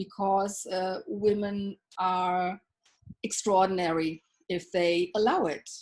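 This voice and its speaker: At a very slow pace, a woman speaks at medium pitch in a monotone, flat intonation. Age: 60s. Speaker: self-love coach. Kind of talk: interview.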